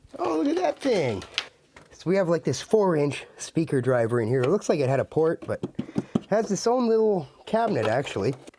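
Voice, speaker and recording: A man at a moderate pace, fairly high in pitch with very wide pitch swings, against noticeable background noise. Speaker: audio equipment reviewer. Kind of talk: casual talk to camera.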